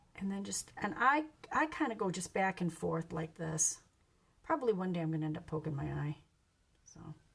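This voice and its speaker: Big swings in loudness and long, frequent pauses amid noticeable background noise. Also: woman, fairly quick pace. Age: 60s. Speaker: makeup seller / beauty vlogger. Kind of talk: casual get-ready-with-me tutorial. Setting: live stream at home. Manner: casual, conversational with fillers.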